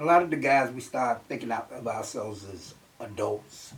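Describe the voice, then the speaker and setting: Fairly slow, lively speech from a man with an American accent, set against noticeable background noise. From North Carolina. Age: 70s. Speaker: grandparent interviewee. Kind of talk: interview.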